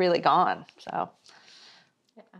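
A woman with an American accent speaks over a quiet background. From San Diego, California; California. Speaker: media and business entrepreneur; interview guest. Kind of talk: interview. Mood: warm, reflective. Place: home room.

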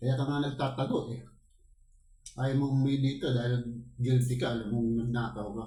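A man speaks at a moderate pace in a medium pitch, his dark, mellow tone held in a flat, monotone delivery. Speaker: mukbang vlogger. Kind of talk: angry rant against corrupt officials, after a prayer. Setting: home, eating on camera for ASMR mukbang. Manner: loud, furious, accusatory, cursing and wishing death on thieves.

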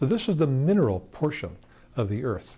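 A man's dark, mellow, somewhat breathy voice at a fairly high pitch and fairly slow pace. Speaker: scientist; interviewee. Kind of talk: lecture. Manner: calm. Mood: gentle, calm. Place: studio.

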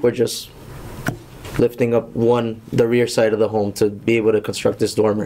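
Against light background noise, a man speaks at a moderate pace with very even loudness. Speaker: building contractor; contractor presenting to board. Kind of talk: public hearing presentation. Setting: town hall meeting room. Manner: formal. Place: meeting room. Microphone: podium.

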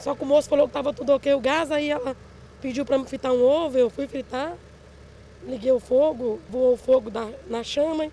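A woman talks at a high pitch and a fairly quick pace with fairly even intonation, broken by long, frequent pauses. The sound is dry with no echo, over light background noise. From Pirapora, northern Minas Gerais, Brazil. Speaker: fire victim, interviewed resident. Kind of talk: street interview, recounting the fire. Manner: distressed, halting, repeating words. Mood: shaken, recounting a loss. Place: street. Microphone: handheld.

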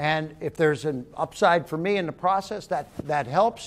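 The man's voice shows ordinary pitch variation. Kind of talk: interview answer. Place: hall. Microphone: lapel.

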